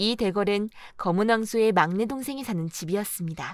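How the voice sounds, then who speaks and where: Lively in intonation and fairly high in pitch, a woman talks at a moderate pace on a very clean recording with a silent background. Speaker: audiobook narrator. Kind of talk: audiobook fairy tale reading.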